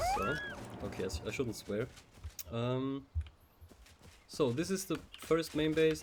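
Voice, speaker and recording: Noticeable background noise runs under speech at a fairly slow pace with a German accent. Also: man. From German-speaking Europe. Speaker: gaming YouTuber. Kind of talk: game walkthrough narration. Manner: hesitant, many fillers. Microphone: recording quiet.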